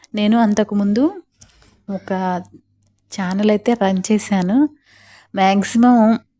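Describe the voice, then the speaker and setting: In a very clean recording with a silent background, a woman speaks at a medium pitch with fairly even intonation and a dark, mellow tone. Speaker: homemaker vlogger. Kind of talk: vlog voiceover narration.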